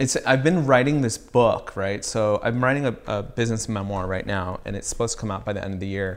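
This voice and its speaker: Speaking at a fairly quick pace with an American accent, a man uses a medium pitch with ordinary variation in an unremarkable speaking voice. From Southern California (Riverside). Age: 30s. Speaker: streetwear designer and brand founder. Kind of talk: casual interview chat.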